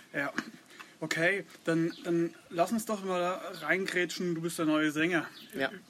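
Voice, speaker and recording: Speaking very slowly with long, frequent pauses, a man uses a high voice with ordinary pitch variation amid noticeable background noise. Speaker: podcast host. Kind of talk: casual interview. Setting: outdoors in a garden.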